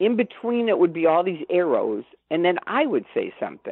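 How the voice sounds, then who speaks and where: With an American accent, a woman talks in a normal speaking voice at a moderate pace with lively intonation. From Chicago. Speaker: former cult member and critic. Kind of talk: interview testimony.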